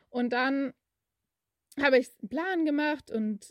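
A woman's high-pitched voice, ordinary pitch variation, a fairly slow pace, and a dry, close sound with no echo. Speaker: podcaster. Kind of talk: casual monologue. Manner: hesitant, with many fillers and laughs.

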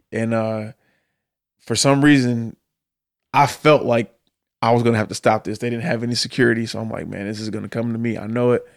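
With an American accent, a man talks with long, frequent pauses on a very clean recording with a silent background. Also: medium pitch for a man, fairly quick pace, big swings in loudness. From US Midwest, Detroit. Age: 30s. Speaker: professional drummer. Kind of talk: casual interview chat. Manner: animated.

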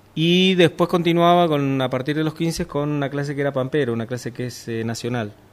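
A fairly high-pitched man with ordinary pitch variation and hardly any pauses. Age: 50s. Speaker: sailing instructor. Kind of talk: interview. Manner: halting.

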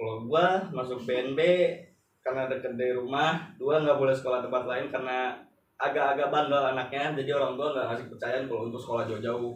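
With audible room echo, a man of medium pitch talks at a fairly quick pace using fairly even intonation. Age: 20s. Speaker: school alumnus. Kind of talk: casual chat.

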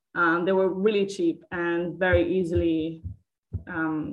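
A woman speaks with a Catalan accent. Her pitch is fairly low. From Catalonia. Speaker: historian. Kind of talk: interview.

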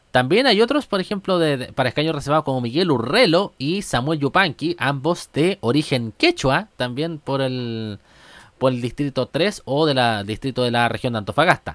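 The speaker talks at a moderate pace with lively intonation in a Chilean accent. The sound is dry and close, with no echo. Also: man, fairly high pitch for a man. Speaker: podcast host. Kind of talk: casual comedic monologue. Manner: animated.

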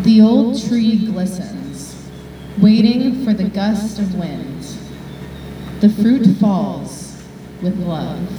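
The speaker uses a calm tone and fairly even intonation at a very slow pace with long, frequent pauses, against noticeable background noise. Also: woman. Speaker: poet and author. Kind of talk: poem reading. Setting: outdoors with live audience. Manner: calm, soft, meditative.

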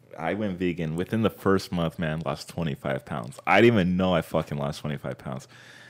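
With an American accent, this voice has vocal fry, ordinary pitch variation and hardly any pauses. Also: man, very deep, low pitch for a man, fairly quick pace. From Southern California, Anaheim area. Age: 20s. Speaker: podcast guest, vegan. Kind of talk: casual chat.

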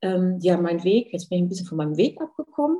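A woman's somewhat breathy voice carries a dark, mellow tone at a medium pitch. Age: 50s. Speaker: hair and beauty salon owner. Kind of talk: podcast interview.

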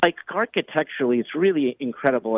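Here a man speaks in a fairly high pitch with an ordinary speaking voice. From Los Angeles. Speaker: sports radio host. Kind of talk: casual chat.

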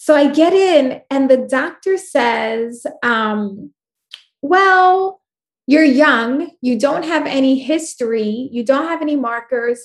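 Speaking with a New York accent, a woman has a high voice and lively intonation. Her pace is very slow. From New York, Puerto Rican family. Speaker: life coach and speaker. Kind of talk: casual interview. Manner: loud.

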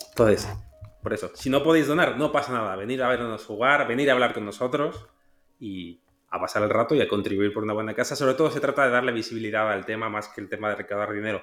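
A man talks very fast at a medium pitch. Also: ordinary pitch variation. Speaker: podcast co-host. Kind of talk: casual chat.

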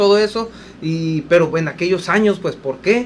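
Noticeable background noise sits behind a man whose high pitch shows ordinary pitch variation. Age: 40s. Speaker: radio co-host. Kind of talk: casual radio chat.

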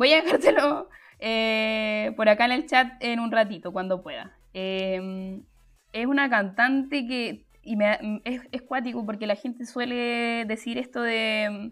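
Music plays in the background as a woman speaks. Her voice is fairly high, and her pace is very slow. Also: ordinary pitch variation, hardly any pauses. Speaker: music teacher and podcast host. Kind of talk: livestreamed podcast talk. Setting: live stream.

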